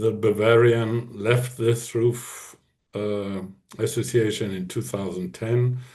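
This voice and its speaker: Somewhat breathy, a man with a medium pitch speaks very slowly in a flat, monotone way. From northern Germany, near Hamburg. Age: 60s. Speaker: hunting association president. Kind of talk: podcast interview. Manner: halting.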